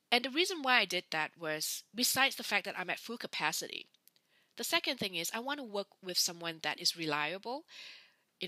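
A woman speaks in a bright, sharp tone with very wide pitch swings. The recording is very clean, dry and close, with no echo and a silent background. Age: 40s. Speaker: personal coach and podcast host. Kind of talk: casual monologue. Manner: hesitant, many fillers.

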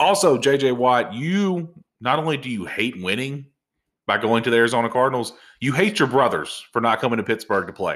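This is a man with an unremarkable speaking voice at medium pitch and a fairly quick pace. The recording is very clean, with a silent background. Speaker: podcast host. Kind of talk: casual chat. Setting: recording at home.

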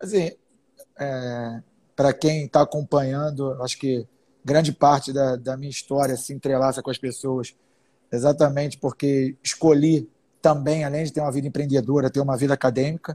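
In a dry, close recording with no echo, a man with a fairly high pitch and a dark, mellow, somewhat breathy tone speaks at a moderate pace in a flat monotone. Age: 30s. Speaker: entrepreneur and business lecturer. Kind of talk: casual live-stream conversation.

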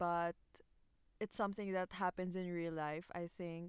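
At a fairly slow pace and with a Filipino accent, the speaker comes through a very clean recording with a silent background and a dry, close sound with no echo. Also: woman. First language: Tagalog. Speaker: podcast co-host. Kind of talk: casual chat.

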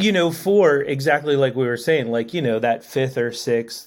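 A man with an American accent uses an ordinary speaking voice at medium pitch, talking at a fairly slow pace with lively intonation. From Maryland, US (Annapolis). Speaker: tattoo artist and former tour crew member. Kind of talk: casual interview.

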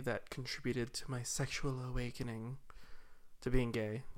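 Here a man talks with an American accent. His pitch sits in the medium range. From Utah. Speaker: podcast co-host. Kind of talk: casual chat.

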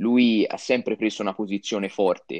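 A man's unremarkable speaking voice, fairly low in pitch, at a moderate pace, with a dry, close sound and no echo. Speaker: motorsport journalist. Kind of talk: casual chat.

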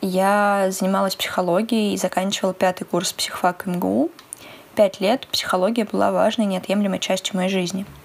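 A woman with an ordinary speaking voice speaks at medium pitch. Her pace is moderate and her intonation fairly even. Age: 20s. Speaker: psychology student and podcast co-host. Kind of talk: casual chat.

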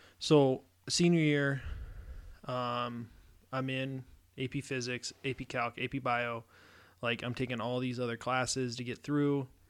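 In a very clean recording with a silent background, a man at medium pitch speaks fairly slowly in a flat monotone, leaving long, frequent pauses. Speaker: podcast co-host. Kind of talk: casual chat.

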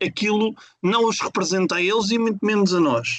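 His pitch is high for a man. It varies in an ordinary way. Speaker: football fan podcaster. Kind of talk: casual chat.

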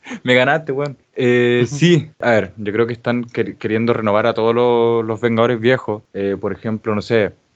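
A man with a Chilean accent and fairly even intonation. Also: medium pitch for a man, moderate pace, hardly any pauses. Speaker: podcast host and editor. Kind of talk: casual chat.

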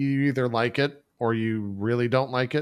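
A man with an unremarkable speaking voice and an American accent speaks at a moderate pace. His pitch is medium, and the recording is very clean with a silent background. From Texas. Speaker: Twitch streamer and podcaster. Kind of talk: casual interview chat.

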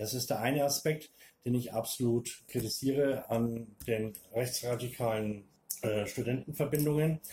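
A man's somewhat breathy voice at medium pitch, dark and mellow in tone, with fairly even intonation and a fairly slow pace. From Upper Franconia, Bavaria (near Hof). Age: 50s. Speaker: former lecturer, interview guest. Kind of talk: interview.

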